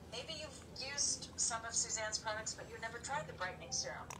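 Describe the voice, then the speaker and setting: A woman talks fairly quickly, with noticeable noise behind her. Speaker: co-host. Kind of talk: casual chat with product pitch. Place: home room.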